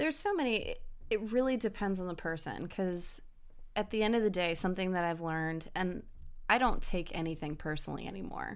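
Speaking fairly quickly with lively intonation, a woman's voice comes through with audible room echo. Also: medium pitch for a woman. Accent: American. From Hampton Roads, Virginia (military family). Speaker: law enforcement officer. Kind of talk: casual chat.

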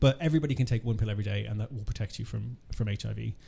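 With an Irish accent, the speaker talks at a very fast pace in a dark, mellow tone, somewhat breathy, with ordinary pitch variation. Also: man. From Ireland. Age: 40s. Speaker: HIV charity programme manager. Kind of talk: interview.

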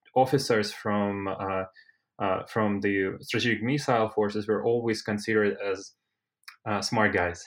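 Over a quiet background, a man with a Russian accent speaks at a fairly slow pace, using a fairly low pitch and fairly even intonation. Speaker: civil-military relations researcher. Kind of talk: expert panel discussion.

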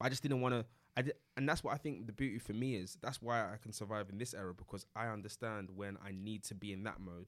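Fairly low in pitch, a man with a London accent speaks at a very fast pace with ordinary pitch variation. The recording is very clean, with a silent background. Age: 20s. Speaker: entrepreneur. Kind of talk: casual interview.

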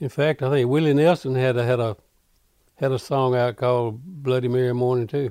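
With a Mississippi accent, a man speaks in a dark, mellow tone at a medium pitch and with fairly even intonation. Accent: Mississippi Southern drawl. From US South, Carroll County, Mississippi. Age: 80s+. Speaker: rockabilly and country singer, band leader. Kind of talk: casual interview, reminiscing.

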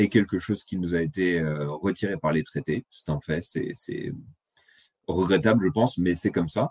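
An unremarkable speaking voice from a man, at a moderate pace with ordinary pitch variation. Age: 30s. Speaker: economics blogger. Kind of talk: presentation.

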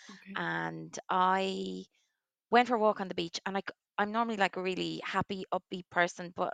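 Woman's voice at a moderate pace, with big swings in loudness. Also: dry, close sound with no echo. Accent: Waterford Irish. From Ireland, Waterford. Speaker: commercial director, twin mother. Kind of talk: interview testimony. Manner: animated.

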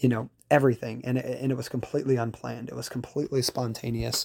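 A man's dark, mellow, medium-pitched voice in a Louisiana accent, with monotone, flat intonation. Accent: Louisiana Southern US. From Louisiana, Baton Rouge. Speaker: salesperson and military member. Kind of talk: recorded personal testimony. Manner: hesitant, filler-heavy.

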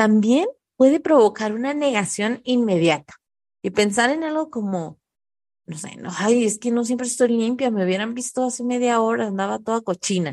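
The voice has a warm tone and lively intonation, moving at a moderate pace. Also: woman, fairly high pitch for a woman. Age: 30s. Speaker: parenting podcast host. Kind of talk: solo podcast monologue. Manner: warm, conversational.

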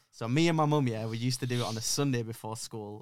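A man with a Yorkshire accent talks at a very fast pace with fairly even intonation, on a very clean recording with a silent background. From northern England, Yorkshire (Leeds area). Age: 20s. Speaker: social media marketing agency owner. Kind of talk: casual interview chat.

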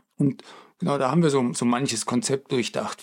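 The man uses an ordinary speaking voice, moving at a fairly quick clip, pitched fairly high and varying his tone to an ordinary degree. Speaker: podcast co-host, game studio colleague. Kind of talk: casual chat.

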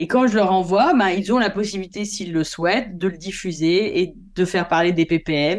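At a moderate pace, a woman with a medium pitch and ordinary pitch variation speaks on a very clean recording with a silent background. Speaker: photographer. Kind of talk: interview. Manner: hesitant.

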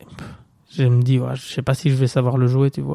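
This very clean recording has a silent background. A man with a medium-pitched voice talks at a fairly quick pace. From Belgium, Bastogne. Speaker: stand-up comedian. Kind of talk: casual chat. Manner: energetic.

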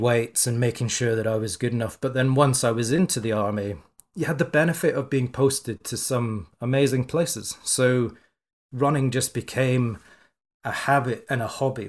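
The recording is very clean, with a silent background. A man speaks at medium pitch and a moderate pace with fairly even intonation. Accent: Scottish. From Scotland. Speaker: entrepreneur and former rugby player. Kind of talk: interview.

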